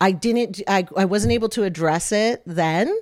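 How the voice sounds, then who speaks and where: With an American accent, a woman at medium pitch speaks in an animated tone with ordinary pitch variation. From US Midwest (southwest Michigan). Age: 40s. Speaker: dance studio owner. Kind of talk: interview conversation.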